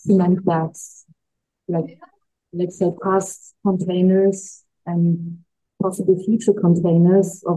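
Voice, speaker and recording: A somewhat breathy woman's voice, monotone and flat, at a very slow pace with long, frequent pauses against a quiet background. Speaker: panel moderator. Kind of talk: moderator introduction. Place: hall.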